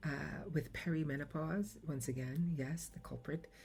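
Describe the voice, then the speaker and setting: A woman with an American accent at a very slow pace, with music in the background. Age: 50s. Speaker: podcaster. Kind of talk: personal reflective monologue. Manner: halting.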